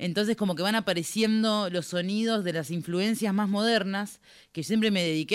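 At a moderate pace, a woman uses a normal speaking voice at medium pitch with ordinary pitch variation, on a very clean recording with a silent background. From Argentina, Buenos Aires conurbano (Remedios de Escalada, Lanús). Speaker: singer-songwriter. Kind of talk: interview chat.

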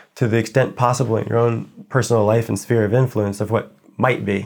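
Very fast and at a medium pitch, a man talks with an American accent on a very clean recording with a silent background. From United States. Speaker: writer. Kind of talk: interview conversation.

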